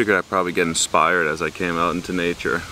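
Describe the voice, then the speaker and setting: A very deep, low male voice at a fairly quick pace over noticeable background noise. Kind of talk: casual vlog monologue. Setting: outdoors in nature park. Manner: soft-spoken, lowered voice; relaxed, hesitant fillers.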